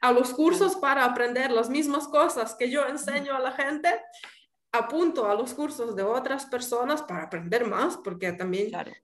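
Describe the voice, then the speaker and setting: Audible room echo surrounds a woman who speaks fairly slowly at a high pitch. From Ukraine. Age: 30s. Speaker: pastry chef. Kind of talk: interview.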